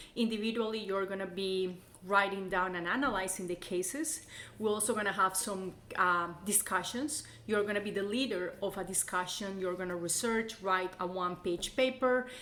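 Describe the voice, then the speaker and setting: Her tone bright and sharp, a woman talks at a moderate pace at a medium pitch with ordinary pitch variation. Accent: Colombian. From Colombia. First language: Spanish. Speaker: college instructor. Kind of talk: course introduction.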